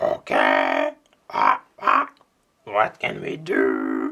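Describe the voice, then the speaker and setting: The speaker uses a put-on character voice. The delivery is very slow. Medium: read story.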